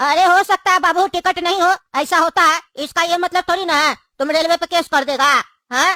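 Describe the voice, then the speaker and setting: A cartoonish character voice sits at an extremely high pitch. It moves at a fairly quick pace. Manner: brusque, colloquial, scolding.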